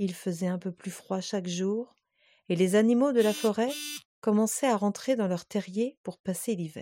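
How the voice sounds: Nothing but quiet surrounds this voice. It reads in a natural way.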